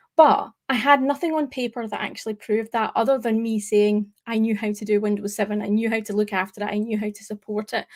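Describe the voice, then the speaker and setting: A woman with a Scottish accent, fairly high pitch, fairly even intonation, and a fairly quick pace, on a very clean recording with a silent background. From Scotland. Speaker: tech presenter. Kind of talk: live stream talk. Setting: live stream.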